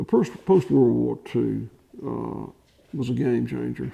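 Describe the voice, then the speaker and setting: In a Southern US accent, a man speaks at a very slow pace. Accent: Southern US (Georgia). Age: 60s. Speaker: farmer. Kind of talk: interview. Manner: halting, many fillers and restarts.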